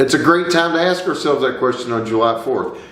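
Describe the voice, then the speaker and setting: Audible room echo on a man's speech. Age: 50s. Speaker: lawyer sharing personal views. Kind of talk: personal monologue to camera. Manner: earnest, impassioned.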